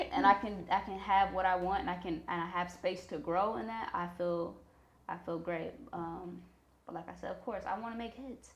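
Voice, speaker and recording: There is audible room echo as a woman with an American accent speaks at a moderate pace. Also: medium pitch for a woman, ordinary pitch variation, big swings in loudness. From Missouri, US Midwest. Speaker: rapper and songwriter. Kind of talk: interview.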